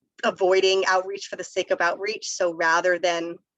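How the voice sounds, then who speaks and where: A woman with a medium-pitched voice talks at a fairly quick pace, the sound dry and close with no echo. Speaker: workshop presenter on community energy outreach. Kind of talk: webinar presentation. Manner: fast.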